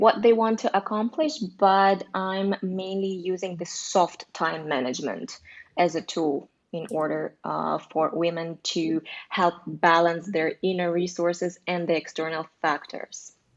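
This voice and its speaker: A fairly low-pitched woman's voice in a Russian accent, at a fairly slow pace with ordinary pitch variation. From Russia (Korean family). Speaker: life coach. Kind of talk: live online show interview. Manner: hesitant.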